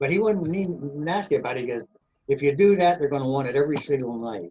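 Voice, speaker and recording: A man's somewhat breathy voice with lively intonation. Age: 80s+. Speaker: professional trumpet player. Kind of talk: interview storytelling.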